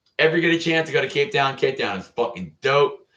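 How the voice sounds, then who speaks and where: An animated man with a Californian accent talks in a bright, sharp tone. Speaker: Coast Guard veteran. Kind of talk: casual storytelling vlog.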